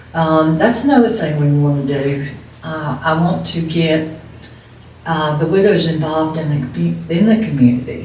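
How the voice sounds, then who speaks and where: A woman with a very deep, low voice is heard with audible room echo and noticeable background noise. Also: ordinary pitch variation, moderate pace. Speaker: widow. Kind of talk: testimony.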